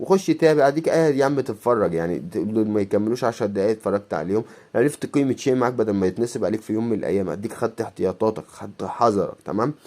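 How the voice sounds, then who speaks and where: Delivered at a very fast pace with hardly any pauses, the voice has a dark, mellow tone and lively intonation. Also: man, medium pitch for a man. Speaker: YouTuber, coin collector. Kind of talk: casual vlog monologue.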